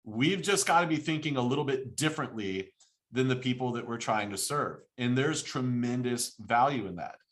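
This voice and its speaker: An animated man with a Southern US accent and lively intonation. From US South, lower Alabama. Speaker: fractional CFO business owner and educator. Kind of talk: podcast interview. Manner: loud.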